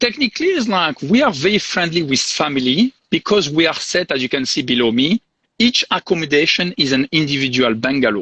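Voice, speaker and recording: Fairly high in pitch with very wide swings, a man with a French accent talks at a fairly quick pace. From southern France. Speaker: hotel sales and marketing director. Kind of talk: live interview. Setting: video call from the hotel property.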